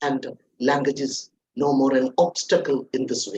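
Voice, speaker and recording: A man with a Keralan accent speaks with lively intonation. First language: Malayalam. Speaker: corporate trainer. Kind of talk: webinar talk.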